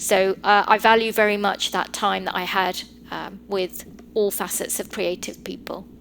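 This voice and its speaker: A woman speaks at medium pitch with a British accent. Her intonation is monotone and flat. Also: moderate pace. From England (North London), Sri Lankan heritage. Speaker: lawyer. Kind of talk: podcast interview.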